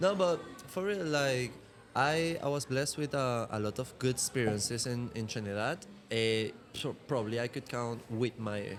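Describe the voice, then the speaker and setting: At a moderate pace, a man with a Venezuelan accent speaks with lively intonation and medium pitch. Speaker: martial arts instructor and model. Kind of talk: casual podcast chat.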